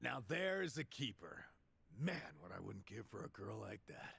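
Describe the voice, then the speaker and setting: A man's raspy, put-on character voice with very wide pitch swings at a moderate pace. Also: medium pitch for a man. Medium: video game.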